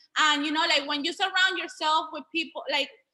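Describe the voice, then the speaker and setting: A raised, projected voice, animated and bright, sharp in tone, with ordinary pitch variation. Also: woman. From Venezuela. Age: 20s. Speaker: online business educator. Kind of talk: group video call presentation.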